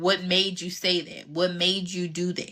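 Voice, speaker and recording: A woman speaks with an American accent. Her voice is fairly low for a woman, with a bright, sharp tone. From Philadelphia, US. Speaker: relationship coach. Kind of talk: live Q&A chat. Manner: casual, conversational.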